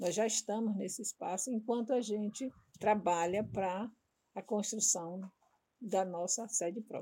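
Her voice is somewhat breathy, with a dark, mellow tone and a fairly high pitch. This woman speaks at a fairly slow pace with fairly even intonation. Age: 60s. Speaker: samba de roda group coordinator. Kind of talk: interview.

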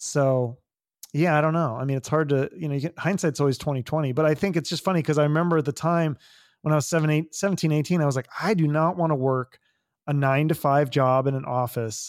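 The speech comes at a very fast pace with fairly even intonation. The recording is very clean, with a silent background. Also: man, fairly high pitch for a man. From US Pacific Northwest, Issaquah near Seattle. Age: 40s. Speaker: podcast host. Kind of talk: casual interview chat.

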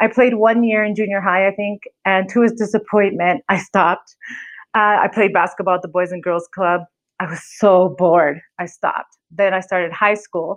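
A woman with an unremarkable speaking voice talks at a moderate pace and medium pitch, her intonation fairly even. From California. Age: 40s. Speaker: podcast host. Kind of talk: solo podcast intro monologue.

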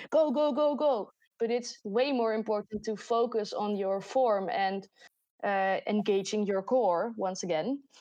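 In a Dutch accent, a woman with a fairly high pitch and a dark, mellow tone speaks at a fairly slow pace. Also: ordinary pitch variation. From Netherlands. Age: 20s. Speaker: podcast host and student. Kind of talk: casual chat.

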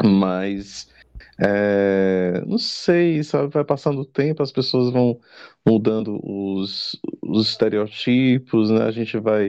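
A man speaks at medium pitch. His pace is very slow. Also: ordinary pitch variation. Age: 40s. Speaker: drag performer and crossdresser. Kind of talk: casual chat.

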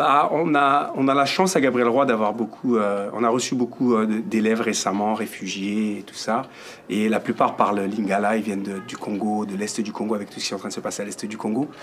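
Using a plain, everyday voice, a man speaks at a fairly quick pace with ordinary pitch variation and big swings in loudness. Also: fairly low pitch for a man. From France. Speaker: music teacher. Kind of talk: interview.

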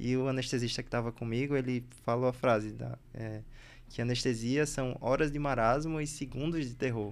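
A man with a Recife accent speaks at a medium pitch. His pace is moderate and his intonation fairly even. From Bahia and Recife, Brazil. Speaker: podcast host, anesthesiology resident. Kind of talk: casual chat.

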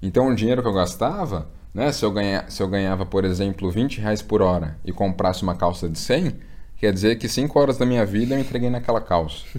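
At a fairly quick pace, a man speaks in a normal speaking voice that is fairly low in pitch, with ordinary pitch variation. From Brazil, São Paulo. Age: 20s. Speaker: investment content creator. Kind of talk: casual interview chat.

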